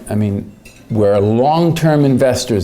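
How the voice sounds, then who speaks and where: A man talks at a moderate pace while audible room echo and noticeable background noise fill the recording. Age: 60s. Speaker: economist. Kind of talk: conference speech. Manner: hesitant, many fillers.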